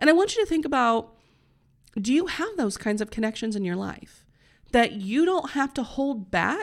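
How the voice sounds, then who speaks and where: Speaking at a moderate pace with an American accent, a woman swings her pitch very widely in a very clean recording with a silent background. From US Midwest (Northeast Indiana). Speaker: podcast host, health and wellness coach. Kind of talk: solo podcast monologue. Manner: casual, conversational with fillers.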